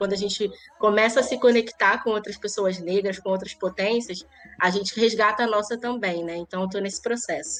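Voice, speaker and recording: A woman speaks in a Rio de Janeiro accent with music in the background. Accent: carioca (Rio de Janeiro). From Rio de Janeiro, Zona Norte (Irajá). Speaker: lawyer and social manager. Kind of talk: interview.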